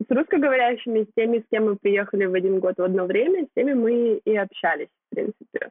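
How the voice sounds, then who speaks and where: A woman talks very fast at a fairly high pitch, with lively intonation. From Kyrgyzstan. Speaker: blogger, marketing graduate. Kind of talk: casual interview.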